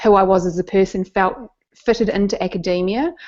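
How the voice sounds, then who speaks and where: Speaking at a moderate pace, a woman has a New Zealand accent. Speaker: neuroscientist and science communicator. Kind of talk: interview storytelling. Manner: halting, with repetitions.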